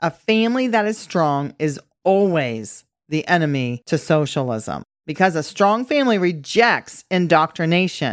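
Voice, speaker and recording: A woman speaks at a moderate pace with fairly low pitch and very wide pitch swings. The recording is very clean, with a silent background. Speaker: podcast host. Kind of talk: scripted-style political commentary podcast. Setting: studio with new microphone setup. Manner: bantering, joking.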